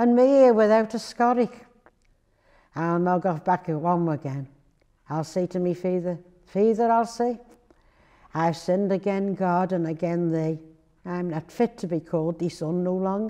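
Over a quiet background, a woman with a North Wales accent speaks at a fairly low pitch with ordinary pitch variation and long, frequent pauses. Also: moderate pace. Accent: North Wales, Buckley dialect. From Buckley, Flintshire, North Wales. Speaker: dialect reader. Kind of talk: dialect story reading.

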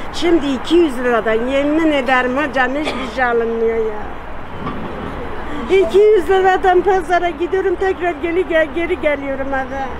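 Against noticeable background noise, a man talks at a moderate pace with an extremely high pitch. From Elazığ, eastern Turkey. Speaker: retiree complaining about economy. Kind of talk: street interview answer. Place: cafe.

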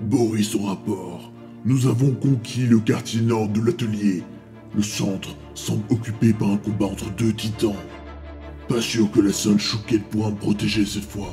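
Over clear background music, a man uses a put-on character voice at a fairly low pitch and a moderate pace. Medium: audio drama. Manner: brash, military report style.

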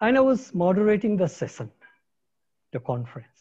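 Over a quiet background, a voice with a dark, mellow tone moves through very wide pitch swings. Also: man. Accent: Nepali. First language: Nepali. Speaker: ecologist, science policy academic. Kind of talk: keynote lecture. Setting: video call.

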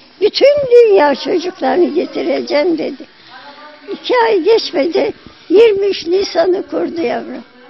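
Noticeable background noise sits behind a woman with an extremely high pitch. She talks at a fairly slow pace with lively intonation. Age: 80s+. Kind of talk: interview answer.

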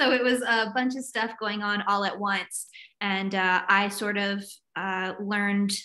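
Speaking with a slight Southern US accent, a woman has a bright, sharp tone. Her pace is fairly slow and her intonation fairly even. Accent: American, light Southern. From US South (North Carolina and Virginia). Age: 30s. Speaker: writer and recovery advocate. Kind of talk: personal testimony in interview.

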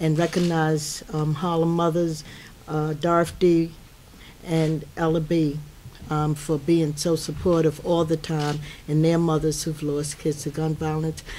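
Her dark, mellow voice sits low in pitch, moving little in tone, as the woman talks at a fairly slow pace.

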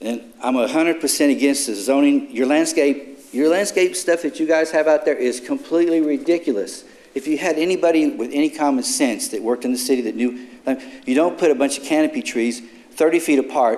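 Ordinary pitch variation accompanies talking at a fairly quick pace. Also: man, fairly high pitch for a man. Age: 60s. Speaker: citizen speaking at public comment. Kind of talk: public comment at council meeting. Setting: city council chamber. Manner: angry, confrontational.

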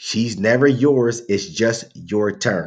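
Speaking at a very slow pace, a man shows ordinary pitch variation. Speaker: reaction channel host. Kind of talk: casual commentary. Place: home room. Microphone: webcam.

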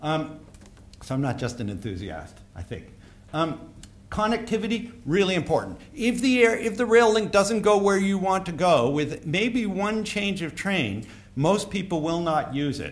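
This man's voice is high for a man. His intonation is lively. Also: moderate pace. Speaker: conference speaker on airport rail. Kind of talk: conference talk. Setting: stage with audience. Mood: wry, anecdotal. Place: hall. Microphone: podium.

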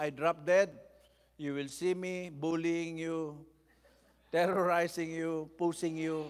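Here a man talks in a high-pitched voice with monotone, flat intonation. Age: 70s. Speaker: bishop and preacher; bishop, preacher. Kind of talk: sermon. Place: church. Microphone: podium.

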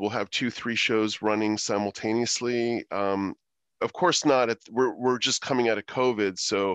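The background is quiet as a man speaks, the sound dry with no echo. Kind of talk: interview answer. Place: home room. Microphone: headset.

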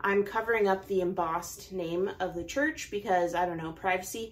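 A woman talks at a moderate pace with an American accent. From Oregon, Portland area. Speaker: knitting YouTuber. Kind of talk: casual vlog haul. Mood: cheerful, enthusiastic. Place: home room.

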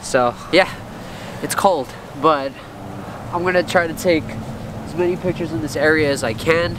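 At a moderate pace, a man with a fairly high voice speaks with ordinary pitch variation over clear background noise.

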